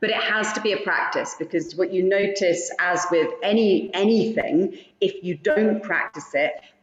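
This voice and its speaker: With a British accent, a woman talks at a moderate pace and medium pitch, her loudness very even, her pitch variation ordinary, with hardly any pauses and noticeable background noise. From Britain. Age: 40s. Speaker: yoga teacher. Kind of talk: casual chat. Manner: halting.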